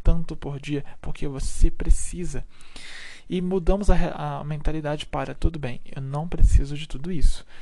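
The man's tone is dark and mellow, his intonation monotone and flat. He speaks at a fairly slow pace with big swings in loudness. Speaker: solo podcast host, content creator. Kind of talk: casual monologue.

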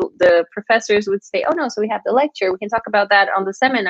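A woman with a Portuguese accent talks with lively intonation. The sound is dry and close, with no echo. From Brazil. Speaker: master's student. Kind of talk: casual chat.

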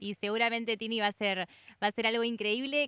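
A woman's bright, sharp tone at a fairly high pitch and moderate pace, dry and close with no echo. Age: 20s. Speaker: radio host. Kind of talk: radio interview.

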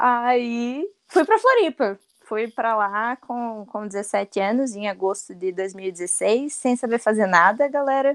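A woman's fairly high voice at a very slow pace, dry and close with no echo. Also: ordinary pitch variation. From Rio Grande do Sul. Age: 20s. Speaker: designer and content creator. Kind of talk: casual chat. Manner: talkative.

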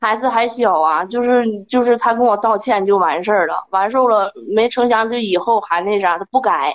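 A woman's fairly high voice, with ordinary pitch variation, moves at a moderate pace. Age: 20s. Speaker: caller. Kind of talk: personal account on advice call. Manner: halting.

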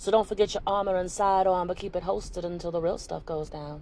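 This woman has a normal speaking voice, fairly low in pitch, with ordinary pitch variation. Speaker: poet and podcast host. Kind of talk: performed spoken-word poetry. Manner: earnest, rhythmic, preacher-like delivery.

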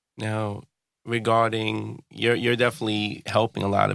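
In a New York accent, a man talks at a moderate pace, recorded with a dry, close sound and no echo. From New York, Brooklyn. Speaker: podcast host. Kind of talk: casual interview. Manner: casual slangy.

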